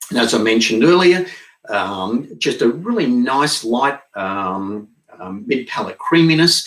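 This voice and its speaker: Speaking at a moderate pace, a man with an Australian accent uses lively intonation. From Australia (Barossa Valley, South Australia). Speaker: winemaker. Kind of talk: virtual wine tasting. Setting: home studio, live stream. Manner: frequent fillers (um).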